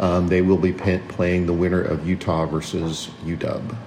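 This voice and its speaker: Noticeable background noise sits behind a man with a very deep, low pitch. He speaks at a fairly slow pace with fairly even intonation. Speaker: sports podcast co-host. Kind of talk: casual sports chat.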